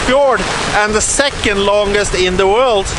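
With fairly even intonation, a man speaks in a raised, projected voice, the sound dry with no echo and background noise noticeable. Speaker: sailing vlogger. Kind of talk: casual vlog chat. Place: boat. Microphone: phone near.

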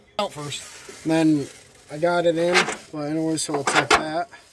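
A man is speaking. There is noticeable background noise. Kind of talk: casual tutorial. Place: street. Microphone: phone near.

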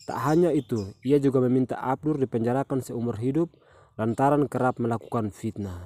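A man's medium-pitched, dark and mellow voice at a fairly quick pace with ordinary pitch variation, dry and close with no echo, in a very clean recording with a silent background. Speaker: news narrator. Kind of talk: news reading, scripted narration. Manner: formal, even, steady.

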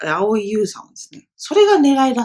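Here a woman is speaking at a moderate pace. The background is quiet. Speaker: film review vlogger, esthetician; film review vlogger. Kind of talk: casual solo film review monologue. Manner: hesitant, many fillers. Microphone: webcam.

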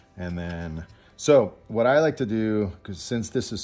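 Faint music plays in the background behind a man. He speaks at a fairly low pitch and a fairly slow pace. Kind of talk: tutorial. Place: home room.

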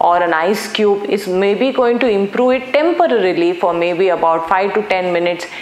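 A woman at a moderate pace with ordinary pitch variation, in audible room echo. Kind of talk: explainer to camera. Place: studio. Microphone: lapel.

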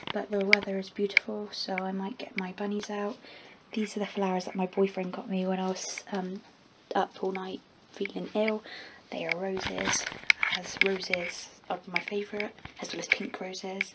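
A woman's medium-pitched, flat, monotone voice at a moderate pace, with long, frequent pauses and loud background noise. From England. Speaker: vlogger. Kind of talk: casual vlog. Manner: halting. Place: home room. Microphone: phone near.

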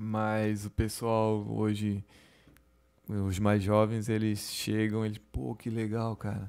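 The delivery is very slow, with monotone, flat intonation. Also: man. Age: 30s. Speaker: chef and restaurant owner; podcast guest. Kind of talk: casual interview. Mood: relaxed, friendly. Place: studio. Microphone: studio mic.

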